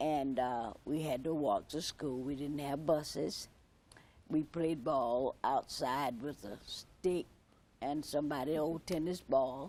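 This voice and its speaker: Speaking at a very slow pace, the voice carries a South Carolina accent. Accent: South Carolina Southern. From US South, Myrtle Beach area. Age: 70s. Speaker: former student of historic school. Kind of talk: TV interview.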